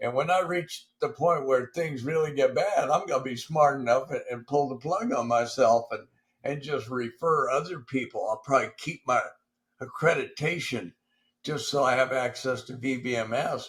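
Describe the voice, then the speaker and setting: Somewhat breathy, a man speaks with a fairly high pitch. His pitch varies in an ordinary way. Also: moderate pace. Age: 70s. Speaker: veterans benefits advocate. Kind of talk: casual chat. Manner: halting.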